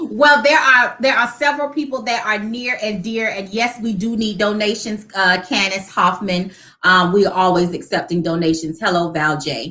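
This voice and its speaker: A woman's medium-pitched voice, bright and sharp, with lively intonation, a moderate pace and hardly any pauses. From Savannah, Georgia (Chatham County), US South. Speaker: nonprofit founder and homemaker. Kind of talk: casual interview chat.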